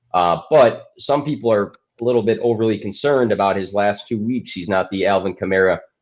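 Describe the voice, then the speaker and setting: In a plain, everyday voice with an American accent, a man speaks at a fairly quick pace and fairly low pitch with ordinary pitch variation over a quiet background. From Illinois. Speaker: fantasy football podcast host. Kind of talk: casual sports chat. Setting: live stream.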